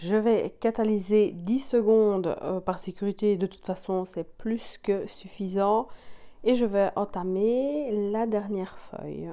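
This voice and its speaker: A woman with a Belgian accent, medium in pitch, with a dark, mellow tone, fairly even intonation and a very slow pace over a quiet background. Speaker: nail technician, tutorial creator. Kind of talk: tutorial. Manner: casual, with frequent filler 'euh'.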